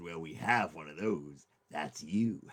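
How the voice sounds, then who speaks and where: A put-on character voice from a man, raspy and very deep in pitch, at a fairly slow pace. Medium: solo performance. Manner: blunt, greedy.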